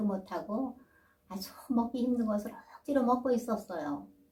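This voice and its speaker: A woman speaks at a moderate pace, with ordinary pitch variation, while noticeable background noise carries on. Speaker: storytelling grandmother (folk tale teller). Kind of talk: folk tale storytelling. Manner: narrative, storytelling pace.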